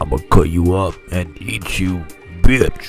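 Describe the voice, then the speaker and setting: A man's put-on character voice, very deep and low, at a fairly slow pace with clear music in the background. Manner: menacing.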